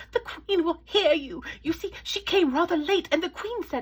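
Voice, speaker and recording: Squeaky and extremely high, a woman's put-on character voice comes at a moderate pace. Her tone is timid and nervous. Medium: read story. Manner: timid, hurried, nervous.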